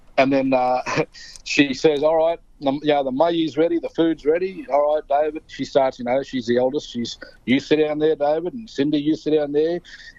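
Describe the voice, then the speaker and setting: The pace here is moderate. A dark, mellow tone colors the voice. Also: man, fairly high pitch for a man. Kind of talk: interview storytelling. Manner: animated.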